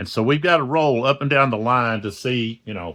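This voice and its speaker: Loud and bright with a sharp edge, a man's medium-pitched voice moves at a fairly slow pace with lively intonation. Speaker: board wargame youtuber. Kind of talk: game playthrough tutorial. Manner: halting, many fillers.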